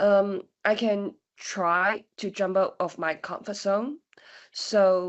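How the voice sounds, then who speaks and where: A woman at a very slow pace and medium pitch, with fairly even intonation. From Hong Kong. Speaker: former foundation student. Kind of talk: panel discussion. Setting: virtual open day.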